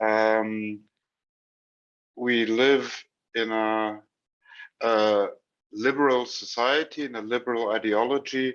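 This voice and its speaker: Against a quiet background, a man with a German accent speaks at a very slow pace in a monotone, flat way, leaving long, frequent pauses. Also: medium pitch for a man. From Germany. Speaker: trainer and speaker. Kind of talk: lecture. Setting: video call. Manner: halting.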